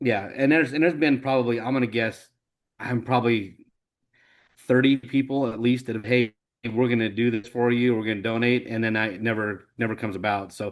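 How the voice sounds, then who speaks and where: A man with an American accent speaks at a fairly quick pace in a normal speaking voice, his pitch medium and his intonation fairly even. The background is quiet. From Idaho, US. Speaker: nonprofit founder. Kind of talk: interview.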